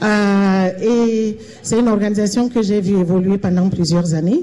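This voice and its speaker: This woman has a normal speaking voice and a fairly high pitch. She speaks at a fairly slow pace with ordinary pitch variation. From Cameroon. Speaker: panelist. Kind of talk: panel testimony. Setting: event hall with live audience.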